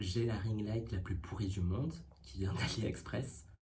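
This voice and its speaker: Audible room echo surrounds this recording. A man with a fairly low pitch speaks at a very slow pace. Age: 20s. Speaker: YouTuber / vlogger. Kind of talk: casual vlog talk. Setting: home setup with ring light.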